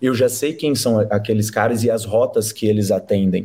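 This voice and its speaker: The voice has a dark, mellow tone and is somewhat breathy. Its pace is fairly slow. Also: man. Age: 20s. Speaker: company director. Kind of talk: casual interview.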